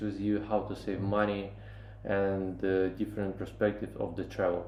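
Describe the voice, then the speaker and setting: Audible room echo surrounds a man speaking at a moderate pace in a fairly low pitch with a non-native accent. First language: not English. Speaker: travel vlogger. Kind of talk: travel vlog. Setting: on location in Paris. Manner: halting, many fillers.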